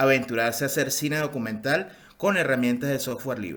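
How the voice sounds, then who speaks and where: The speaker has a Venezuelan accent. Audible room echo can be heard. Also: man. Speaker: film post-production specialist. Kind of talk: conference talk. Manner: halting, many fillers.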